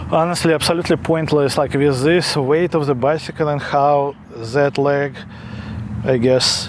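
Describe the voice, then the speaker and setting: A man speaks at a fairly high pitch with fairly even intonation over noticeable background noise. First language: not English. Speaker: product reviewer. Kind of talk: product review. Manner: halting, many fillers; casual.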